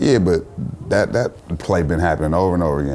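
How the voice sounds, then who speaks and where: Over noticeable background noise, a man with a very deep, low pitch talks very fast with ordinary pitch variation. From US West Coast, Richmond, California (Bay Area). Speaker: rapper and photographer. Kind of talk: casual chat.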